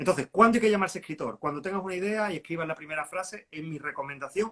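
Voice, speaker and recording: Dry and close with no echo, a man's speech has lively intonation. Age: 50s. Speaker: writer. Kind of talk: live interview. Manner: halting.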